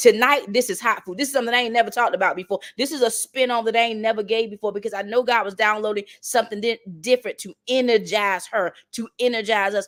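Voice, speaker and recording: Animated in tone, a woman with a Southern accent talks at a very fast pace with hardly any pauses on a very clean recording with a silent background. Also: fairly high pitch for a woman. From North Carolina. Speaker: motivational speaker. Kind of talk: motivational talk.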